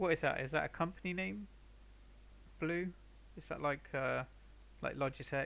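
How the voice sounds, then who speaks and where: A man at a moderate pace, with long, frequent pauses. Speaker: painter streaming live. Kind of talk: casual chat with live stream viewers. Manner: halting. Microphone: viewers suggest a better mic.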